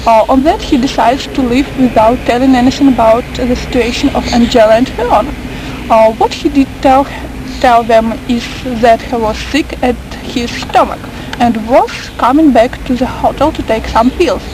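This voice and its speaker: At a moderate pace, a woman with a high pitch and fairly even intonation is heard through noticeable background noise. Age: 20s. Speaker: journalism student. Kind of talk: reading aloud. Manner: hesitant, many fillers.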